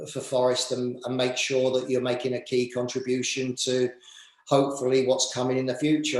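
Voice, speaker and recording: Speaking with an English accent, a man talks at a fairly quick pace in a monotone, flat intonation. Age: 50s. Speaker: football director and former manager. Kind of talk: interview. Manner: halting, many fillers and repeats.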